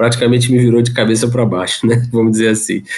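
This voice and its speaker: A man's voice at medium pitch. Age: 30s. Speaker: electrical engineer and father. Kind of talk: casual interview chat.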